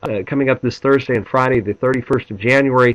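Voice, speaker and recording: A man at medium pitch talks with an American accent. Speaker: business coach. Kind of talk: pre-event preview video. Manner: enthusiastic.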